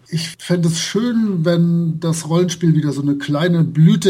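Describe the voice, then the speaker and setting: A man's fairly high-pitched voice with a dark, mellow tone, fairly even intonation, a moderate pace and audible room echo. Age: 40s. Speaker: role-playing game blogger and translator. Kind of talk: casual interview.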